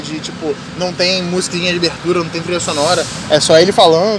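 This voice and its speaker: The voice is monotone and flat, heard with audible room echo and noticeable background noise. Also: man. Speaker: podcast host. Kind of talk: casual chat.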